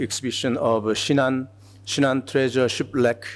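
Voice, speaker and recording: A man is speaking. He has a Korean accent. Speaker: museum curator. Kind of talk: conference presentation. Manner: halting, many fillers.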